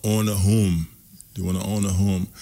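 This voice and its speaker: A man with a Haitian accent at a fairly low pitch and moderate pace, with monotone, flat intonation, on a very clean recording with a silent background. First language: Haitian Creole. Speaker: community organization representative. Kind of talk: radio interview. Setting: radio studio.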